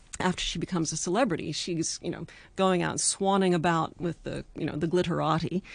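Against a quiet background, a woman talks fairly quickly with vocal fry. Her pitch is fairly low, with ordinary variation. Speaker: novelist. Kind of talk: radio interview. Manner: hesitant with many fillers.

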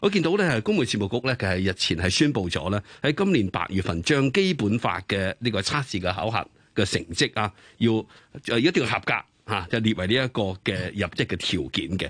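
An unremarkable speaking voice from a man, fairly low in pitch, with lively intonation, a moderate pace and a quiet background. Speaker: radio co-host. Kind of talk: radio interview. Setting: studio.

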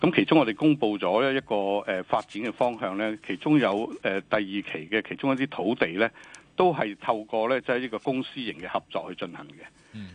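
Speaking fairly quickly with hardly any pauses, a man uses lively intonation and big swings in loudness at a medium pitch, in a dry, close sound with no echo. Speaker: government department director. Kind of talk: radio interview. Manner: halting, many fillers.

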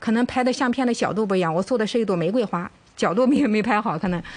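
A woman's voice, an ordinary speaking voice, with ordinary pitch variation. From mainland China. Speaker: home cooking contestant. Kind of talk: cooking demonstration.

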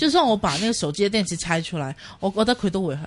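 Somewhat breathy, a woman speaks at a very fast pace and medium pitch. She has a Cantonese accent. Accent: Cantonese-accented Mandarin. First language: Cantonese (speaking Chinese). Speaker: radio host. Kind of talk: casual chat.

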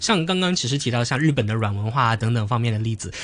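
A somewhat breathy man's voice with lively intonation. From Hong Kong. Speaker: university student debater. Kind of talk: radio interview.

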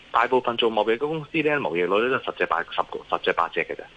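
A man with a Hong Kong accent at a fairly quick pace, with noticeable background noise. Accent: Hong Kong Cantonese. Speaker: investment analyst. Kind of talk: phone interview on markets. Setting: phone call. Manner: hesitant, many fillers.

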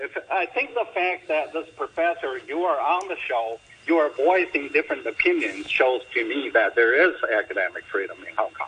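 At a moderate pace and with hardly any pauses, the speech runs over noticeable background noise. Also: man. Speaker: university professor. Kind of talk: panel discussion.

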